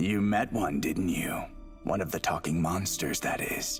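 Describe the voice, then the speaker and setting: Clear music plays in the background behind a cartoonish character voice. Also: man, fairly low pitch for a man, moderate pace. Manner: sly, teasing.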